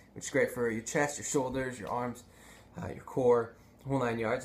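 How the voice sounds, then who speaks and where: There is light background noise as a man speaks at a medium pitch. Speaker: video blogger. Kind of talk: casual vlog tutorial. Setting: home video. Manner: casual, filler-heavy.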